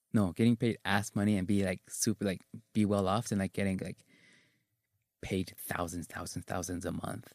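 In an ordinary speaking voice, a man talks at a moderate pace with fairly low pitch and fairly even intonation, recorded dry and close with no echo. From Provo, Utah, US; Mexican-American. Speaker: school youth worker. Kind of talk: casual interview.

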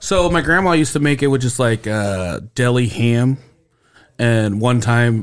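A man's ordinary speaking voice at a medium pitch and fairly slow pace, with lively intonation and very even loudness, on a very clean recording with a silent background. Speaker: podcast host. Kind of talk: casual comedy podcast chat. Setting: studio.

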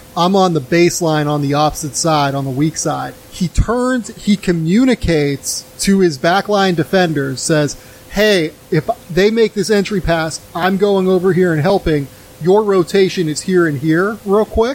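A man talks at a moderate pace in a high voice with ordinary pitch variation. Noticeable background noise runs under the recording. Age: 30s. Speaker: basketball podcast host. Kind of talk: casual chat.

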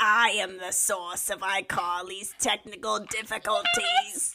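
This put-on character voice moves along fairly slowly. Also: female-sounding voice, medium pitch for a woman. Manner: mischievous.

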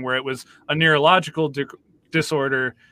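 A normal speaking voice at a moderate pace. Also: man. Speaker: podcast co-host. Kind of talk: casual interview chat.

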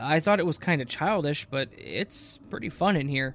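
Moderate pace from a man with a fairly high pitch. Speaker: horror story narrator. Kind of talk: ghost story narration, spooky creepypasta reading. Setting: online video channel narration. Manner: dramatic, suspenseful pacing; conversational, casual.

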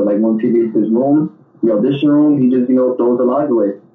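Noticeable background noise sits behind a man's medium-pitched voice. He talks at a very fast pace with fairly even intonation. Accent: New York. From New York, the Bronx. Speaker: actor and musician. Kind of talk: interview.

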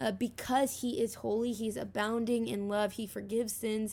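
A woman with a normal speaking voice talks at a moderate pace and a fairly high pitch, her intonation fairly even. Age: young. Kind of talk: casual chat. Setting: call.

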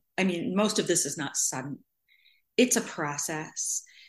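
Against a quiet background, a woman with an American accent talks at a moderate pace in a normal speaking voice. Her pitch is medium and her intonation lively. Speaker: adoptee sharing experience. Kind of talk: casual group discussion. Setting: video call.

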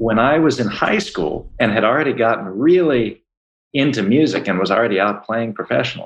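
A man's medium-pitched, a normal speaking voice with an American accent, fairly quick pace, and lively intonation. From Baltimore, US. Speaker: jazz musician and entrepreneur. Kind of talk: casual interview.

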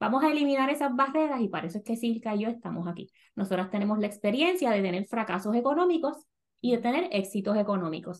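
A woman talks very fast at a fairly high pitch with lively intonation. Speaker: podcast host, personal finance educator. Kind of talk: casual chat.

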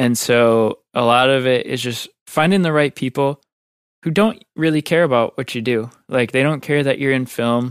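In a very clean recording with a silent background and a dry, close sound with no echo, a man with a Midwestern American accent talks at a moderate pace and a medium pitch with ordinary pitch variation. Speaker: video editor. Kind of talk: casual interview. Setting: studio.

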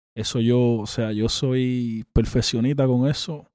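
A man's dark, mellow voice at a medium pitch, in a very clean recording with a silent background. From Dominican Republic. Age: 30s. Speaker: rapper. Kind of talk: interview.

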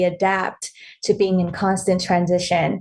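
A woman talks with a West Coast accent. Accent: general American (West Coast). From born in Vietnam, raised in Los Angeles. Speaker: author and content creator. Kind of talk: casual interview.

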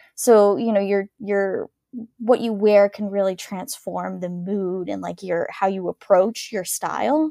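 A woman speaks at a medium pitch and a fairly slow pace. Her intonation stays fairly even. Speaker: dancewear startup founder. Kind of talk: interview. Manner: soothing.

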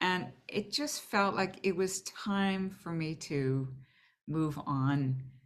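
Very slowly and with lively intonation, a woman with a fairly low pitch talks in an American accent. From Boston. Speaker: orchestral flutist and teacher. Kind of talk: casual interview chat.

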